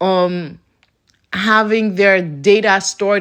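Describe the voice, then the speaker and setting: A woman's bright, sharp tone in a flat monotone, set against a quiet background. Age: 20s. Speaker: YouTuber. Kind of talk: casual vlog rant. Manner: halting.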